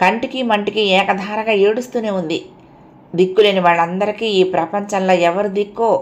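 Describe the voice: This clip is plain reading aloud. Nothing else stands out.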